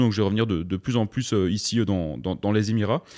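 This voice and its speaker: A dark, mellow tone in a Belgian accent, with ordinary pitch variation and a fairly quick pace. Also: man. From southern Belgium. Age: 20s. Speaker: entrepreneur. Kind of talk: casual podcast interview. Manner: halting, many repetitions and fillers.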